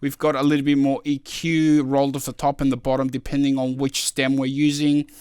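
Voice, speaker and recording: Recorded very cleanly against a silent background, a man with a fairly high pitch talks at a fairly quick pace in a normal speaking voice. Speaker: music producer. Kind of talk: tutorial. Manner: casual, many filler words.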